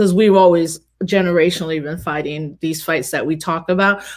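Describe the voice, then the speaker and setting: Speaking with a New York accent, a woman with a fairly low pitch moves at a fairly quick pace against a quiet background. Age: 40s. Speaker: activist and scholar; panelist. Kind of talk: casual conversation. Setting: video call. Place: home room.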